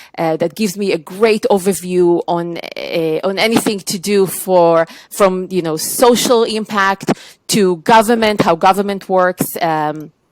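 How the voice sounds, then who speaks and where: A woman with an Israeli accent is heard in a dry, close recording with no echo. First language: Hebrew. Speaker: tech trade executive. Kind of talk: podcast interview.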